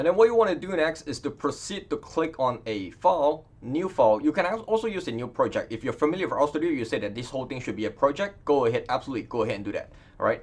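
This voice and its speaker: Speaking at a very fast pace with hardly any pauses, a man with a non-native accent uses a fairly high pitch and very wide pitch swings. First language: not English. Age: 30s. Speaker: data science educator. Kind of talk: tutorial. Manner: casual, many fillers.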